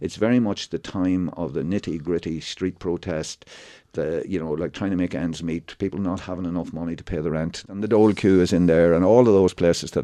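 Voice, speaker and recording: Against a quiet background, a man with a Monaghan accent talks at a very fast pace in a very deep, low pitch. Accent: Irish (Ulster border, Monaghan). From Ireland, County Monaghan. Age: 60s. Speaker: actor and theatre writer. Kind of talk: radio interview. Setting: radio studio. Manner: animated, with false starts and repetitions.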